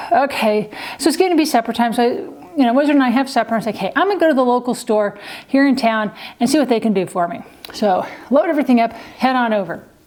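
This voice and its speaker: Over noticeable background noise, a woman with a high voice talks at a fairly quick pace with lively intonation. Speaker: vlogger. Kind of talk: casual storytelling to camera. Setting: home, on camera with kitten. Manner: fast.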